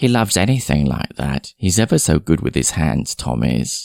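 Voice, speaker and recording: In a whiny, put-on character voice, a man swings his very deep, low pitch very widely at a moderate pace, with a dry, close sound, no echo and a very clean recording over a silent background. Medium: read story. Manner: vague, trailing off mid-sentence.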